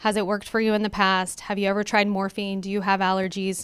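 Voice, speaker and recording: A woman's medium-pitched voice at a fairly quick pace, on a very clean recording with a silent background. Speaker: pharmacy benefit presenter. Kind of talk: conference presentation. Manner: fast.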